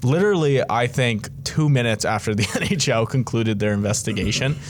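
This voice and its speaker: Noticeable background noise sits behind a man speaking at a fairly quick pace. His pitch is medium with ordinary variation, and his loudness stays very even. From Ontario, Canada (Georgetown). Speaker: hockey podcast host. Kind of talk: casual chat. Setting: studio, in person. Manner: casual, filler-heavy.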